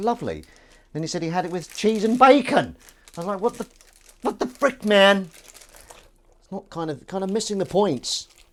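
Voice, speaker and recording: A high-pitched man's voice with a Southern English accent and lively intonation. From southern England. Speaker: livestreamer. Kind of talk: casual live stream chat. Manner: halting, stumbling.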